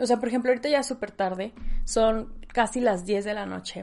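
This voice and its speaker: With an animated tone and ordinary pitch variation, a woman with a fairly high pitch speaks at a moderate pace. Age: 20s. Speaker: podcast host. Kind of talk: solo podcast monologue.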